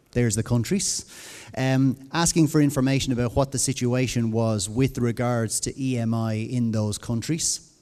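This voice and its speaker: A man speaks in an Irish accent with a dark, mellow tone. His pace is moderate and his intonation fairly even. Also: medium pitch for a man. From Ireland. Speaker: conference speaker on education. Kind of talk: conference presentation.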